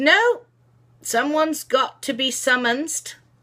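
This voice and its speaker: A female-sounding voice performs a put-on character voice at a high pitch. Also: fairly slow pace. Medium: read story.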